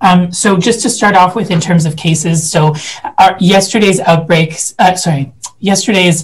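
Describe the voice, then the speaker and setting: Here a man talks at a moderate pace. His pitch variation is ordinary. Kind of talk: briefing update to a committee. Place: office. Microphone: headset.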